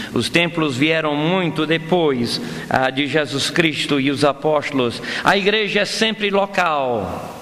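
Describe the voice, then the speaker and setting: Fairly high pitch from a man with ordinary pitch variation, a very slow pace and very even loudness, plus audible room echo and noticeable background noise. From Brazil, Amazonas (Manaus), son of foreign missionaries. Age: 50s. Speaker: pastor. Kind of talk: sermon. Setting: church. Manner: halting.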